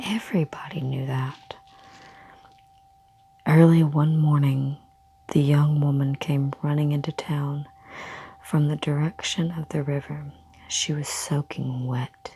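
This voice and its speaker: Soft-spoken and very deep in pitch, a woman talks at a fairly slow pace in a monotone, flat way, with long, frequent pauses. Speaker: ASMR creator. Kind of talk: ASMR story reading. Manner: soft-spoken, quiet.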